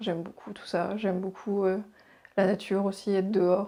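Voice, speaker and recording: A woman's dark, mellow tone in monotone, flat intonation at a moderate pace, on a very clean recording with a silent background. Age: 30s. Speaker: teacher. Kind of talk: interview testimony. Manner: hesitant.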